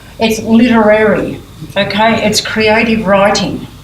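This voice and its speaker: Fairly high in pitch, a woman speaks with an Australian accent. Noticeable background noise and audible room echo are present. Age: 80s+. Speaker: prison creative writing program leader. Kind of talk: conference talk. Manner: halting.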